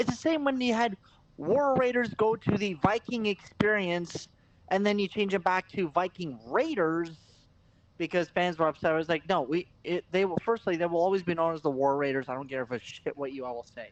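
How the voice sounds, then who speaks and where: The tone is animated, with a slight Canadian accent. The pace is moderate. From Canada, Eastern European heritage. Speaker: wrestling podcast co-host. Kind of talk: casual chat. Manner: animated ranting.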